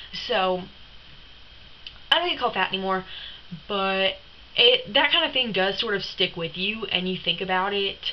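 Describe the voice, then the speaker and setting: A woman speaks at a moderate pace with long, frequent pauses. Her pitch is medium, with ordinary pitch variation. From Tennessee. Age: young. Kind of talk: casual talk to camera.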